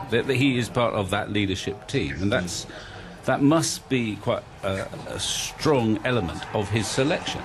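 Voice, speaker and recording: Over noticeable background noise, a man delivers his words at a fairly slow pace. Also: lively intonation. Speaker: radio cricket commentator. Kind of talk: radio commentary panel chat during a rain delay. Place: booth.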